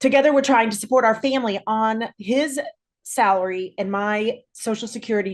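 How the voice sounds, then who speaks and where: With an American accent and a fairly high pitch, a woman talks in an unremarkable speaking voice. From Kansas. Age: 60s. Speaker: social worker. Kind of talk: personal testimony. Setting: video call.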